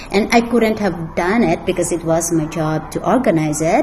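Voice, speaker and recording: A woman speaks at a fairly low pitch with ordinary pitch variation. Noticeable background noise sits under her voice. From Philippines, Mountain Province. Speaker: school librarian. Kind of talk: interview.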